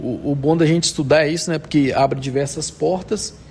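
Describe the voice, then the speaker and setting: Noticeable background noise is present. Over it, a man talks at a fairly high pitch. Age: 30s. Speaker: technical instructor, automation engineer. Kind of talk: interview. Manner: halting, many fillers.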